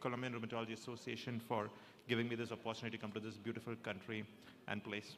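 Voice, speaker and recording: A man talks at a medium pitch in a bright, sharp tone. His intonation is flat and monotone. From South India. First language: Malayalam. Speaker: rheumatologist. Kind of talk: lecture. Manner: halting, many fillers.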